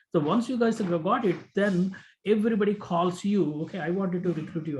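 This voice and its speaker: Fairly quick pace with ordinary pitch variation against a quiet background. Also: man. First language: Telugu. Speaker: business owner mentoring students. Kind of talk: mentoring talk to students. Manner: halting, many fillers.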